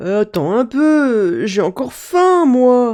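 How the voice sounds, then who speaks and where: Putting on a character voice, a woman speaks very slowly at a high pitch with very wide pitch swings. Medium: read story.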